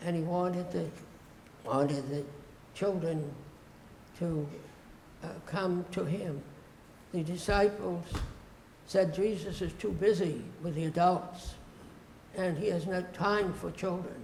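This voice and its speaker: With audible room echo, a man with a high voice talks at a fairly slow pace, leaving long, frequent pauses and keeping his intonation fairly even. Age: 90s. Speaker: retired pastor. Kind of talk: interview. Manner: halting.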